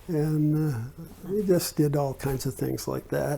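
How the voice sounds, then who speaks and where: This man talks at a very slow pace in a fairly high pitch, his dark, mellow tone somewhat breathy and his pitch varying in an ordinary way. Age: 70s. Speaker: oral history interviewee. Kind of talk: interview answer. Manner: casual, reminiscing.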